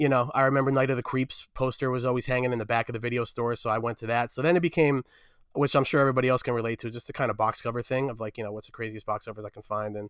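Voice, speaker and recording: In a very clean recording with a silent background, a man with a New Jersey accent talks very fast at a medium pitch, his intonation fairly even. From New Jersey, Fair Lawn. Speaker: film journalist guest. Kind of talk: casual chat.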